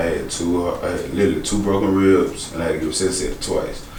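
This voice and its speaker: Speech pours out of a man at a very fast pace. The room echo is audible, and background noise is noticeable. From Alabama, Birmingham. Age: 20s. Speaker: rapper and actor. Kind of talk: interview.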